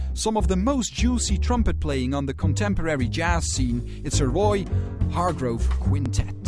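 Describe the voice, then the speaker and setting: Clear music plays in the background while a man speaks. His pace is moderate and the sound is dry with no echo. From Netherlands. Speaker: radio presenter. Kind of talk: late-night jazz radio presenting. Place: studio.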